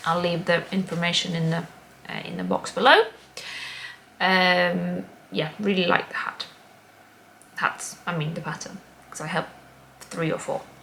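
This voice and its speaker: A woman with a Latvian accent speaks at a moderate pace, broken by long, frequent pauses. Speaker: craft podcaster. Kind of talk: casual chat. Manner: hesitant, many ums.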